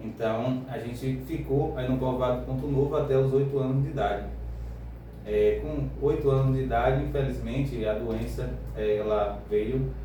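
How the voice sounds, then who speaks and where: Noticeable background noise and audible room echo surround the recording. A man speaks at a moderate pace. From Brazil, Northeast (Bahia interior). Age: 30s. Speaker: radio show guest. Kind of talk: radio interview, life story. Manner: hesitant, many fillers.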